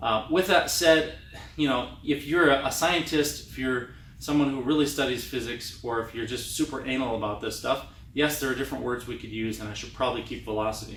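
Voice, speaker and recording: Fairly quick speech with ordinary pitch variation and big swings in loudness, amid audible room echo and noticeable background noise. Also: man, medium pitch for a man. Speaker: trumpet teacher. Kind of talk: tutorial. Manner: fast.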